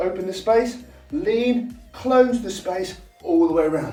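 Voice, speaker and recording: A man with a South East London accent speaks with lively intonation. Music plays in the background, and room echo is audible. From South East London, England. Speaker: dance teacher. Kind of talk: tutorial. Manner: animated.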